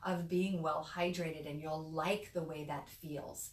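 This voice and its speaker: At a moderate pace, a speaker with an American accent is heard with audible room echo and noticeable background noise. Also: woman. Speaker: midwife. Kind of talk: educational talk. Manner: casual, conversational.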